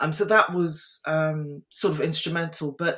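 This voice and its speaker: A woman speaks with an English accent. Her pace is fairly slow. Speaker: diversity and inclusion leader, former lawyer. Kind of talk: podcast interview.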